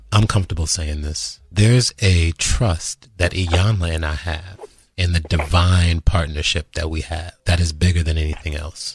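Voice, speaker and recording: Speaking with an American accent, a man uses a very deep, low pitch, a somewhat breathy sound and fairly even intonation at a moderate pace. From Washington, D.C. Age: 50s. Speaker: spiritual podcast host. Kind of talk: casual chat.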